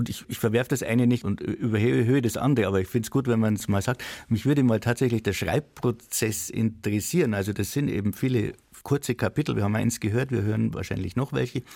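On a very clean recording with a silent background, a man talks very fast with vocal fry, medium pitch, and ordinary pitch variation. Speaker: literary institution co-host. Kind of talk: literary discussion. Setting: radio studio.

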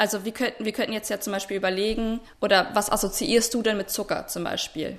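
A woman's fairly high voice in a monotone, flat delivery at a fairly quick pace, with hardly any pauses. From Potsdam, Brandenburg, Germany. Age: 20s. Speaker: student podcast host. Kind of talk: casual chat. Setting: remote, audio-only link. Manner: hesitant, many fillers.

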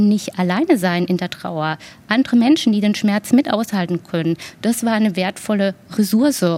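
At a medium pitch and a moderate pace, a woman speaks in a dark, mellow, somewhat breathy tone with ordinary pitch variation. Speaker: grief counsellor. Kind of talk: interview.

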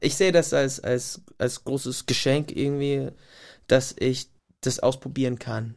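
Fairly even in intonation, a man talks at a medium pitch and a fairly slow pace. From US Pacific Northwest, Gig Harbor near Tacoma. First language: English (speaking German). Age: 30s. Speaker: singer-songwriter. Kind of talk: casual interview. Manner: halting, pauses to find words.

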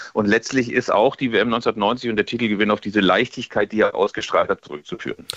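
With a normal speaking voice at medium pitch, a man talks at a fairly quick pace with hardly any pauses and ordinary pitch variation. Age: 50s. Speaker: football magazine editor. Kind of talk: radio interview.

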